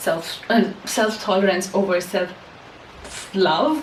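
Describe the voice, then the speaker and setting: A woman's medium-pitched voice with a non-native accent, amid audible room echo and noticeable background noise. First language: not English. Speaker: self-help podcaster and poet. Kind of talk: casual monologue to camera. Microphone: poor voice quality, mic was off.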